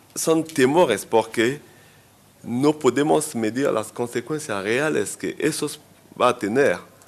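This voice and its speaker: Fairly high in pitch, a man speaks at a very slow pace with ordinary pitch variation. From Central Africa. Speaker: health consultant and pharmacist. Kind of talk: conference talk. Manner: halting, with self-corrections.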